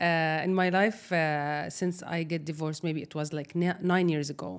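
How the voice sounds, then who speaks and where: A woman speaks with an Arabic accent in a very deep, low pitch. Her intonation is fairly even and her pace moderate. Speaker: social media creator. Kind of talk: personal interview testimony. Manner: halting.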